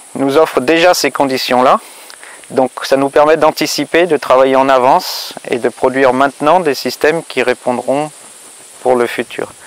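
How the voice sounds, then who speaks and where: Recorded as dry sound with no echo, a man speaks fairly slowly with fairly even intonation. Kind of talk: interview answer. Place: farm machine.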